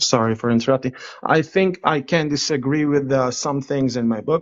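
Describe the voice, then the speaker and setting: This man speaks with an Israeli accent at a moderate pace. His pitch is fairly high and his intonation fairly even. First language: Hebrew. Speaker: caller on a live stream. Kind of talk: debate.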